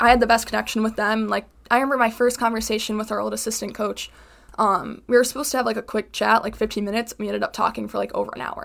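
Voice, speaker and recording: Over a silent background in a very clean recording, a woman with an American accent talks at a very fast pace. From US Midwest, western suburbs of Chicago. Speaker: college volleyball player. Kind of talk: casual interview.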